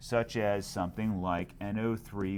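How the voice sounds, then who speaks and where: On a very clean recording with a silent background, a man with a plain, everyday voice speaks at a fairly low pitch with ordinary pitch variation. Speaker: chemistry teacher. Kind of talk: lecture. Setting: screencast recording.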